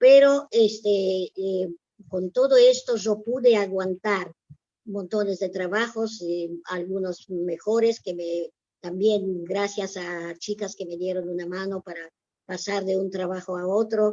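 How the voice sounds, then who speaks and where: Very slowly, a woman speaks with fairly even intonation. Her loudness swings a lot. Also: medium pitch for a woman. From Poland. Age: 90s. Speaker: Holocaust survivor. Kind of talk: testimony. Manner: halting.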